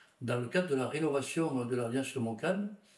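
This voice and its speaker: A man's medium-pitched voice carries ordinary pitch variation and a moderate pace. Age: 60s. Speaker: local elected official, former teacher. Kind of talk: interview testimony. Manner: hesitant, with filler sounds.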